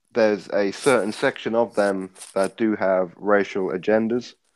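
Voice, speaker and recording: A man with an English accent and a fairly low pitch, speaking at a fairly slow pace on a very clean recording with a silent background. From England. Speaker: boxing commentator guest. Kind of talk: casual chat.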